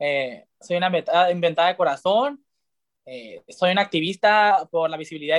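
Speaking with ordinary pitch variation, a man has a high-pitched voice. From Sonora, Mexico. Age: 20s. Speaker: LGBT activist. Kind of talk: casual interview. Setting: video call.

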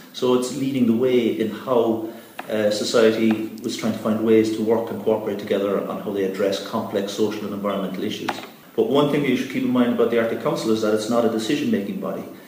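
A man with a Cork accent talks at a very fast pace and in a fairly even intonation, with noticeable background noise and audible room echo. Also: medium pitch for a man. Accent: Cork Irish. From Ireland, East Cork. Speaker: environmental organisation executive. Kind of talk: interview.

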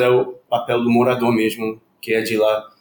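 A man talks at a fairly slow pace. He has a Spanish accent. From Puerto Rico. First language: Spanish (speaking Portuguese). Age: 40s. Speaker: academic researcher. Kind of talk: interview.

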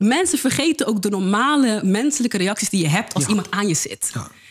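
A woman speaks at a fairly high pitch with very wide pitch swings. Her voice is somewhat breathy, and her pace is fairly quick. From Netherlands, Rotterdam-Zuid. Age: 20s. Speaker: peer educator. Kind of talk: casual interview.

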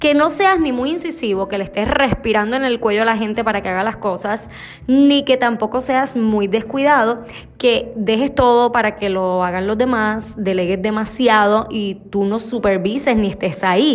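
Fairly high-pitched woman's voice in an animated tone, with ordinary pitch variation at a moderate pace. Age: 30s. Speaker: leadership educator and podcast host. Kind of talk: motivational talk.

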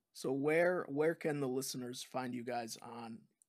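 Here is a man with an unremarkable speaking voice at medium pitch. He speaks at a moderate pace with ordinary pitch variation. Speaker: podcast host. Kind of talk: casual interview chat. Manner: upbeat, friendly.

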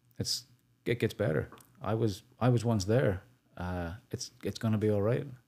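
With a Northern Irish accent, a man talks at a moderate pace in a fairly low, dark and mellow voice, with ordinary pitch variation and long, frequent pauses. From Northern Ireland. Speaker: charity founder. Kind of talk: podcast interview.

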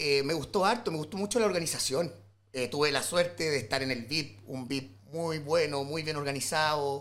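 Here a man talks at a moderate pace. His pitch is fairly high, with ordinary variation. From Chile, rural O'Higgins region. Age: 30s. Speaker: illustrator and visual artist. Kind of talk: casual chat.

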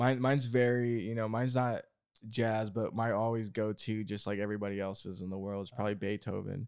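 Over a very clean recording with a silent background, a man with an American accent speaks at a fairly quick pace in a fairly low pitch with monotone, flat intonation. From small-town US. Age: 20s. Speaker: podcast host. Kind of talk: casual chat.

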